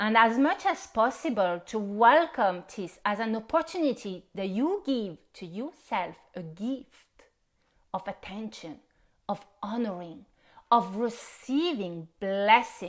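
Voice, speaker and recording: A fairly high-pitched woman with a non-native accent, very slow pace, lively intonation and big swings in loudness, in a very clean recording with a silent background. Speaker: spiritual healer. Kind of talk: live-stream workshop introduction. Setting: Facebook live stream.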